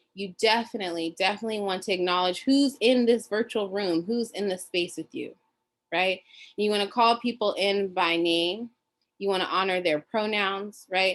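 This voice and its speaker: Speaking at a moderate pace, a woman has a medium pitch and ordinary pitch variation. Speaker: teacher trainer. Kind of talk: workshop facilitation. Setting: video call. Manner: animated.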